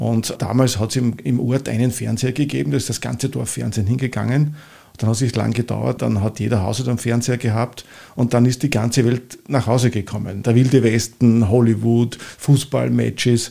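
With an Upper Austrian accent, a man speaks at a moderate pace in a dark, mellow tone with vocal fry. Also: medium pitch for a man, fairly even intonation. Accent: Upper Austrian, never picked up Viennese. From Upper Austria, Mühlviertel. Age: 60s. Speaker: travel author and event marketing entrepreneur. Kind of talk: interview.

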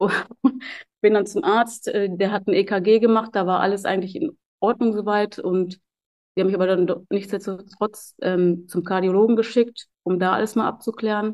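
A woman speaks at a moderate pace with fairly even intonation. Hers is an ordinary speaking voice at a medium pitch. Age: 30s. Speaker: professional soldier and personal trainer. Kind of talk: interview testimony.

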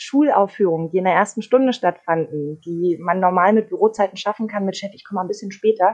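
In a normal speaking voice, a woman talks at a fairly quick pace at a medium pitch with ordinary pitch variation. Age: 30s. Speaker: radio host. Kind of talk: casual chat.

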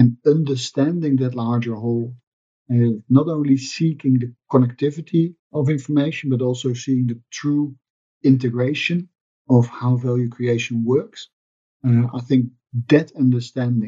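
A man with a Dutch accent speaks at a moderate pace in a medium pitch. His tone is dark and mellow, his intonation fairly even. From Netherlands. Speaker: sustainability finance expert. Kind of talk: interview.

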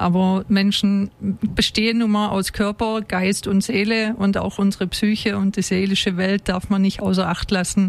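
At a moderate pace and medium pitch, a woman speaks in a monotone, flat intonation with very even loudness and hardly any pauses. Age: 40s. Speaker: former executive turned relaxation coach. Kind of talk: radio talk interview. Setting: studio.

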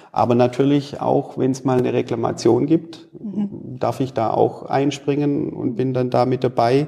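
Over noticeable background noise, a man with a medium pitch speaks at a fairly slow pace with ordinary pitch variation and hardly any pauses. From Stuttgart area, Swabia. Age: 40s. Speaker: manufacturing executive. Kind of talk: interview.

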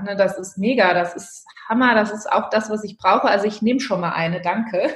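The speaker keeps a moderate pace, and audible room echo surrounds the voice. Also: woman. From Germany, Hesse (Marburg). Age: 30s. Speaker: handbag designer and entrepreneur. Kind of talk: interview.

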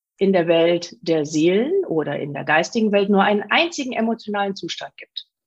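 A woman with an unremarkable speaking voice talks at medium pitch and a moderate pace. Her intonation is lively. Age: 40s. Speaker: spiritual medium. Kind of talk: interview.

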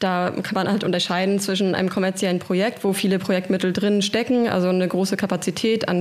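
Amid noticeable background noise, a woman speaks at a fairly quick pace in a monotone, flat intonation. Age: 30s. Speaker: cargo bike project coordinator. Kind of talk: interview. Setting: studio.

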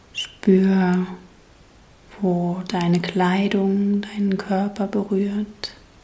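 Over noticeable background noise, the voice moves at a very slow pace in a soothing, calm tone with long, frequent pauses. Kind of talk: guided meditation. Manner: slow, soothing, gently paced with long pauses; calm, soft-spoken, warmly inviting.

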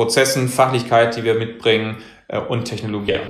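Audible room echo surrounds a man speaking at a moderate pace and medium pitch in a monotone, flat intonation. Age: 30s. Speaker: senior manager at an advisory firm. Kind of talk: interview. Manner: hesitant, many fillers.

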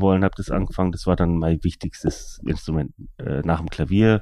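With a very deep, low pitch and a dark, mellow tone, a man speaks with fairly even intonation. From Germany, Allgäu (Kempten, Bavaria). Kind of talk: casual interview conversation. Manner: hesitant, many fillers.

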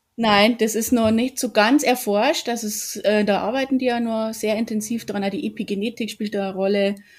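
The recording is very clean, with a silent background. A woman with a slight Bavarian accent speaks at a moderate pace with fairly even intonation and hardly any pauses. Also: fairly high pitch for a woman. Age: 40s. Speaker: yoga teacher. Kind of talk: interview.

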